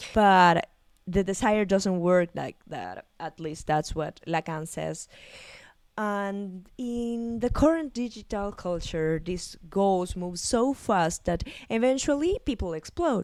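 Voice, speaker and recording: Very slow speech from a woman at medium pitch with lively intonation, in a very clean recording with a silent background. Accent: Spanish. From Argentina. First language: Spanish. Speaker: psychologist and video essayist. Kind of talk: video essay analysis. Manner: halting, with fillers and repetitions.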